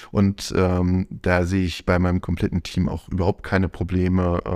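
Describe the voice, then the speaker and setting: A man speaks at a fairly slow pace. The sound is dry and close with no echo, and the recording is very clean over a silent background. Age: 40s. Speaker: volunteer press team lead. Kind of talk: interview. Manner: hesitant, many fillers.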